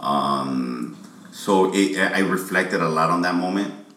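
Amid audible room echo and noticeable background noise, a man's very deep, low voice moves with ordinary pitch variation. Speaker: rapper. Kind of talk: casual chat.

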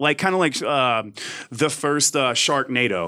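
With a Southern US accent, a man talks with very wide pitch swings. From US South, Mississippi. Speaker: magazine writer. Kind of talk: casual chat.

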